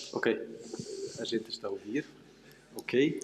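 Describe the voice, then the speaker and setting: A man speaks with a non-native accent at a moderate pace. Music plays in the background. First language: not Portuguese (speaking Portuguese). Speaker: panel moderator, philosophy researcher. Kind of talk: panel discussion moderation. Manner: halting, many hesitations.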